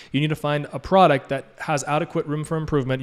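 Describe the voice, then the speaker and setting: Very fast talking from a man. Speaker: e-commerce coach. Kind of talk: live Q&A mentorship stream. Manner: animated.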